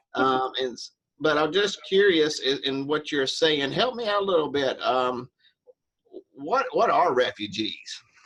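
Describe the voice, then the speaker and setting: The speaker has a Southern US accent, lively intonation and a fairly slow pace. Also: man, fairly high pitch for a man. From US South. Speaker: interviewer. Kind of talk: interview.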